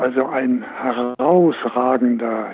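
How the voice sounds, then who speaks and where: A man's voice at a medium pitch. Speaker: former motorsport team manager. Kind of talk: casual chat.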